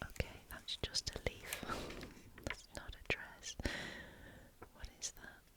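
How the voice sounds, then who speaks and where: Whispering in a British accent, a woman speaks at a very slow pace with long, frequent pauses. Her loudness swings widely, and noticeable background noise sits behind her. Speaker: ASMR reader. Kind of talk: casual chat to camera while having coffee. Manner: soft-spoken, whispered.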